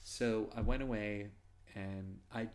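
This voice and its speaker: A man with an American accent speaks in a fairly low pitch. Audible room echo surrounds his voice. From US Northeast (Massachusetts). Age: 40s. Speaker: podcast host, Navy veteran. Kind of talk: casual interview chat. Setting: in person in Moscow.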